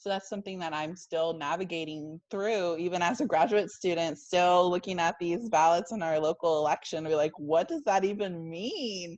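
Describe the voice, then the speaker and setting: Speech moves at a moderate pace with hardly any pauses against a quiet background. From US, child of immigrants. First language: non-English. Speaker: graduate assistant, podcast co-host. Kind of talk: casual panel discussion.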